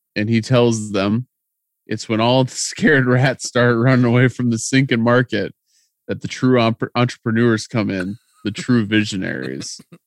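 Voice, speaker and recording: A plain, everyday voice from a man at medium pitch, with fairly even intonation and a moderate pace, in a dry, close sound with no echo. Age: 30s. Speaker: podcast co-host. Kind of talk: casual chat recapping a TV episode.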